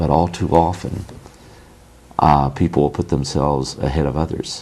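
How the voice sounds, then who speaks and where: Soft-spoken and at a fairly slow pace, a man talks at a very deep, low pitch with fairly even intonation over noticeable background noise. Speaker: former army sergeant. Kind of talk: interview answer.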